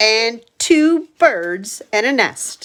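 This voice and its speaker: A woman performs a put-on character voice. Her pitch sits fairly high. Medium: read story. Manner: calm, deadpan.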